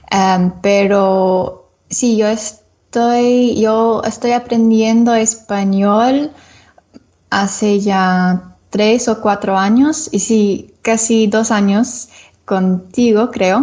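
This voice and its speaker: With an English accent, the speaker talks at a very slow pace, with very even loudness and fairly even intonation. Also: woman, fairly high pitch for a woman. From Florida, US. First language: English (speaking Spanish). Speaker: English teacher and Spanish learner. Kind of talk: podcast interview. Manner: halting, many fillers.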